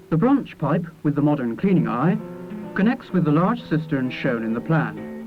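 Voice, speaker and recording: A man talks with lively intonation at a fairly high pitch. He keeps a moderate pace over music in the background. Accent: Bristolian. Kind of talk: documentary narration.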